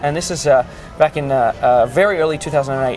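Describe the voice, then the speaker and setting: A man with a fairly high pitch speaks over music in the background. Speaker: cruise ship art auctioneer. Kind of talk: interview answer.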